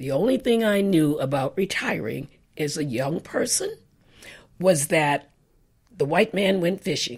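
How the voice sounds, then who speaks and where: In a very clean recording with a silent background, a woman with an American accent talks at a fairly slow pace in a fairly low, somewhat breathy voice. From Boston. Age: 80s+. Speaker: writer. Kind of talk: interview. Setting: on location in a home.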